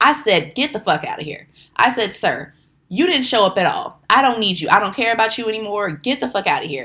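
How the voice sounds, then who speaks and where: An animated woman's voice, fairly high-pitched, with a bright, sharp tone, very wide pitch swings and a fairly quick pace. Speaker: podcast host. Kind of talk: angry rant. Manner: irritated, emphatic, repeating 'okay?' for punch; animated, rambling, self-correcting.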